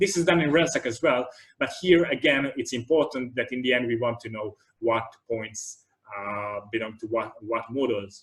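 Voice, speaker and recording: A man talks at a medium pitch and a moderate pace with ordinary pitch variation. He has an unremarkable speaking voice. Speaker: computer vision researcher giving a tutorial talk. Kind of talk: lecture.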